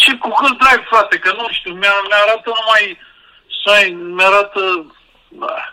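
A man raises and projects his high-pitched voice, moving at a fairly slow pace with long, frequent pauses and fairly even intonation. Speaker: guest with a tech problem.

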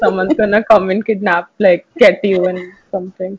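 At a moderate pace, a woman speaks at medium pitch with fairly even intonation, a slightly mellow tone and a slightly husky edge.

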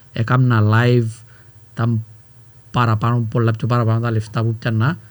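A man speaks at a fairly slow pace in a somewhat breathy voice. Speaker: rapper and youtuber. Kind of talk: casual chat.

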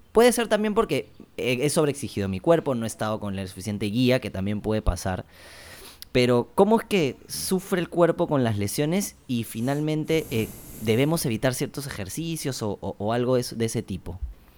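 A man talks at a moderate pace with a medium pitch. His voice moves through very wide pitch swings. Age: 30s. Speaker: podcast co-host. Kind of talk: casual interview.

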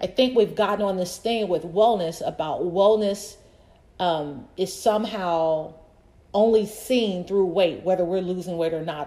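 She has a normal speaking voice at a medium pitch. The woman talks at a moderate pace with ordinary pitch variation. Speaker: podcast host and personal trainer. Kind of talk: solo podcast monologue. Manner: casual, talkative.

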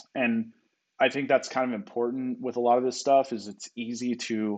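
At a moderate pace and medium pitch, a man speaks in a monotone, flat way over a quiet background. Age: 30s. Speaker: poker player. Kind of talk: casual chat.

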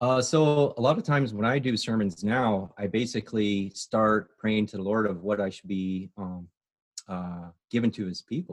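Here is a man with a normal speaking voice and a fairly low pitch. He talks at a moderate pace with ordinary pitch variation. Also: quiet background. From Chicago suburbs, Illinois (moved to Phoenix at 11). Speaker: pastor. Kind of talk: casual interview. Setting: remote recording from home.

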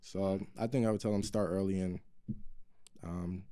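A man's fairly low voice with a dark, mellow tone and a New York accent. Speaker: podcast co-host. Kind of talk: casual chat.

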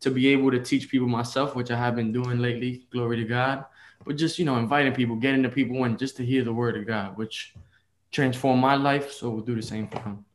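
Speaking fairly quickly with a New York accent, a man keeps a medium pitch and fairly even intonation. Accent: New York City. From Bronx, New York. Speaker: lay evangelist. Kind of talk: casual interview.

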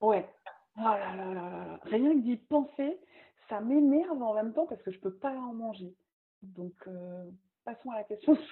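Using lively intonation and a fairly high pitch, a woman speaks at a fairly slow pace with long, frequent pauses and big swings in loudness. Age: 30s. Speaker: magazine founder and communication agency owner. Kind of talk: casual interview.

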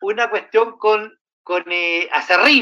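A man with a Chilean accent uses a raised, projected voice with a high pitch and a bright, sharp tone. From Chile, Santiago. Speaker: panelist. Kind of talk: casual chat.

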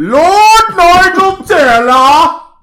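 Heard with an audible echo, a put-on character voice squeaks out at an extremely high pitch. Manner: grandiose, booming.

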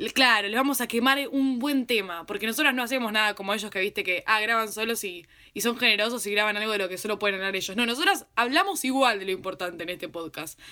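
A woman races along at a very fast pace with hardly any pauses, her fairly high voice bright and sharp in tone, with ordinary pitch variation. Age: 20s. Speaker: podcast host. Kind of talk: casual chat. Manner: animated.

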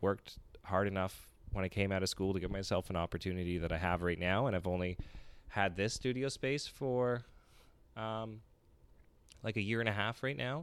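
Recorded very cleanly against a silent background, a man with a fairly low pitch talks at a moderate pace with ordinary pitch variation. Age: 20s. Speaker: painter. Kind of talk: casual chat. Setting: home couch, in person.

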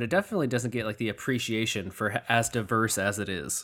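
A man speaks at a fairly quick pace in a medium pitch with an American accent. His tone is bright and sharp. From Michigan. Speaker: podcast host. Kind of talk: interview. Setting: home, remote call.

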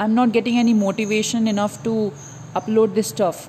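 Speaking at a moderate pace with an Indian accent, a woman is heard over noticeable background noise. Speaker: podcaster and exam aspirant. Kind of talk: casual monologue to listeners. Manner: hesitant, many fillers.

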